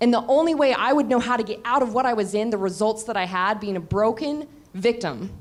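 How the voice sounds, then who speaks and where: With ordinary pitch variation and a fairly high pitch, a woman uses a normal speaking voice at a moderate pace. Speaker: business mentor. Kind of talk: panel discussion.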